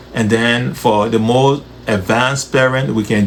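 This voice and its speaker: A man's medium-pitched voice over noticeable background noise. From Liberia. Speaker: nonprofit education executive. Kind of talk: interview. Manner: hesitant fillers.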